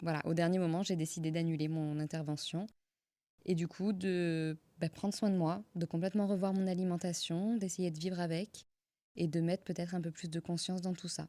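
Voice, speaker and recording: Monotone, flat intonation in a dark, mellow tone. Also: woman, fairly low pitch for a woman, moderate pace. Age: 30s. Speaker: yoga teacher and podcaster. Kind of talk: personal story monologue. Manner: hesitant, with fillers and repetitions.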